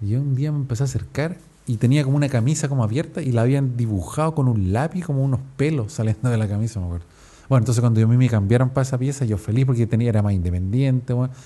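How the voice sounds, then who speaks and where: Very fast and somewhat breathy, a man with a Chilean accent speaks in a dark, mellow tone with ordinary pitch variation. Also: medium pitch for a man. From Chile, Viña del Mar. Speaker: podcaster. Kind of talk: casual podcast monologue. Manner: casual, slangy.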